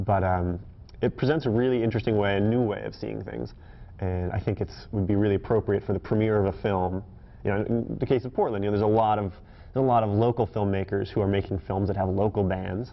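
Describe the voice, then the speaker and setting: Fairly even intonation at a very fast pace. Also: man, fairly low pitch for a man. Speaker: guest. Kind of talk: interview answer. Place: studio.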